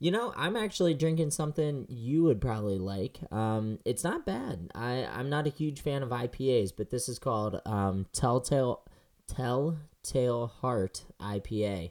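A man talks at a fairly slow pace in a normal speaking voice, medium in pitch. His intonation is lively, and he hardly pauses at all. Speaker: motorsport podcast co-host. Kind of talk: casual chat. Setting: at home, remote call.

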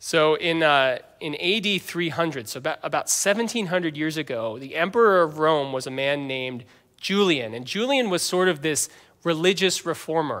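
With an American accent, a man speaks at a moderate pace and a fairly high pitch. His tone is bright and sharp, his intonation lively. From US, Northern Virginia (Fairfax). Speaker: pastor. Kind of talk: sermon. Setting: church.

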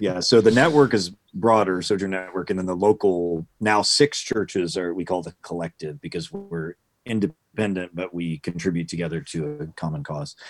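Speaking at a fairly quick pace with ordinary pitch variation, a man with a very deep, low voice sounds dry and close, with no echo. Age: 50s. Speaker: professor and pastor. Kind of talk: interview. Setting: video call.

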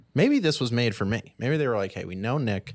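Recorded very cleanly against a silent background, the speaker talks at a fairly quick pace in an animated tone. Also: man. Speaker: podcast host. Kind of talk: casual chat about games and TV. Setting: live-streamed studio. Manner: casual, profane, animated.

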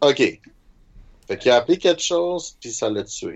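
At a fairly slow pace, a man speaks. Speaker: roleplaying game player. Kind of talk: tabletop roleplaying game play.

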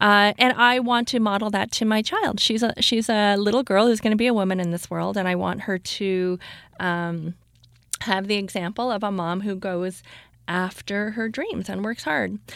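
In a Canadian accent, a woman speaks at a moderate pace with a medium pitch and fairly even intonation, an unremarkable speaking voice. The recording is very clean with a silent background. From Canada, Toronto. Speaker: stand-up comedian. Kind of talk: casual chat. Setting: studio.

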